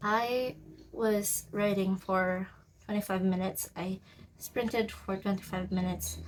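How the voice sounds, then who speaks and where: A woman with a non-native accent, somewhat breathy, with fairly even intonation, at a very slow pace over light background noise. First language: not English. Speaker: writer vlogger. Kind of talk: casual vlog. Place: home room. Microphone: phone near.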